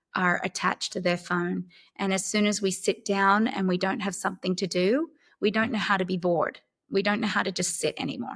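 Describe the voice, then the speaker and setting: A woman speaks at a fairly quick pace with an Australian accent, her pitch medium and its variation ordinary. The recording is very clean, with a silent background. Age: 50s. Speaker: actress. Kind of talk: interview answer.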